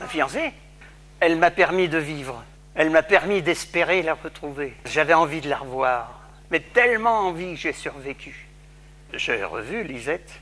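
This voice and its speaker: Pausing long and often, a man talks at a fairly slow pace with lively intonation. His fairly high-pitched voice has a bright, sharp tone. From France, Paris. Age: 80s+. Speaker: Holocaust survivor. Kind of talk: testimony.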